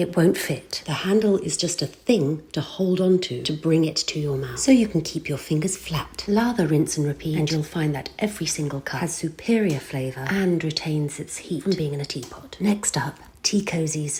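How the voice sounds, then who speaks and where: With a British accent, the speaker keeps a moderate pace with hardly any pauses over noticeable background noise. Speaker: voice-over artist. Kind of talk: humorous tutorial narration. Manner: dry, tongue-in-cheek.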